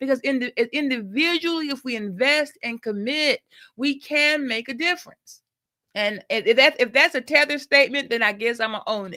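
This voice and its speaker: In an American accent, a raised, projected voice with a bright, sharp tone and lively intonation speaks at a moderate pace, the recording very clean with a silent background and a dry, close sound with no echo. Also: woman, high pitch for a woman. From US Midwest, Milwaukee. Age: 60s. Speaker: nursing professor. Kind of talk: interview. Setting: group call.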